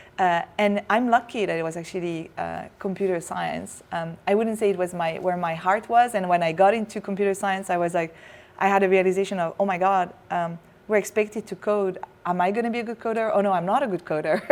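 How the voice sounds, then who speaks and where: A woman talks at a fairly quick pace with a French accent. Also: medium pitch for a woman, fairly even intonation. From France, raised partly abroad. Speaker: tech company chief executive. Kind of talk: interview.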